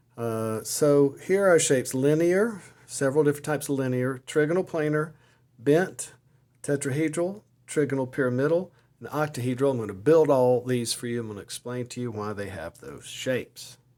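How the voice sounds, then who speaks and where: An American man speaks at a moderate pace with lively intonation and big swings in loudness. His tone is dark and mellow, at a fairly high pitch. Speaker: chemistry teacher. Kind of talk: lecture. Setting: outdoors at the beach. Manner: casual, conversational with fillers.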